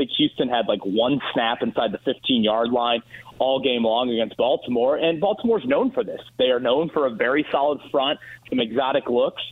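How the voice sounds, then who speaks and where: An ordinary speaking voice from a man, medium in pitch, moderate in pace, with ordinary pitch variation. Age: 30s. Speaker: sports radio host. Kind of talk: phone-in sports talk.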